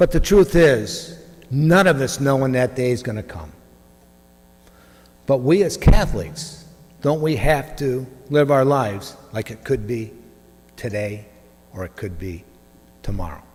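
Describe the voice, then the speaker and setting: A man's somewhat breathy, medium-pitched voice with very wide pitch swings, big swings in loudness, and long, frequent pauses. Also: fairly slow pace. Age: 60s. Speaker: parishioner giving testimony. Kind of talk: testimony.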